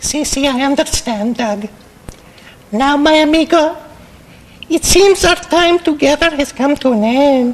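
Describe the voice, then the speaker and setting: A high-pitched, cartoonish character voice moves at a moderate pace. Long pauses come often. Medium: puppet show. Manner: mock-solemn, then bored.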